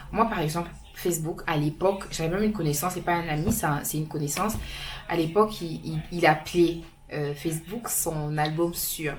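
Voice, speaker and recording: Moderate pace and fairly even intonation, with audible room echo and noticeable background noise. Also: woman, fairly low pitch for a woman. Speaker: vlogger. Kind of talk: casual vlog talk to camera.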